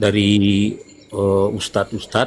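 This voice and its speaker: A man with a fairly low pitch, at a very slow pace. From North Sulawesi, Indonesia (Amurang, Manado area). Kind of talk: live-stream Q&A call. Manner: halting.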